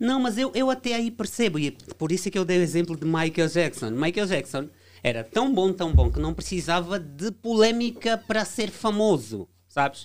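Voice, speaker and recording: A man's high-pitched voice with very wide pitch swings, at a moderate pace, on a very clean recording with a silent background. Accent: Angolan. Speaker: debate guest. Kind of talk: heated debate. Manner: halting.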